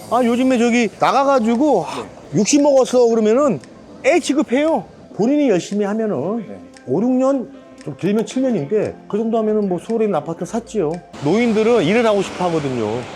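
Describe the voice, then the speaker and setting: Lively intonation from a high-pitched man at a moderate pace, with music in the background. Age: 60s. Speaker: retired corporate employee. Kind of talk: interview answer.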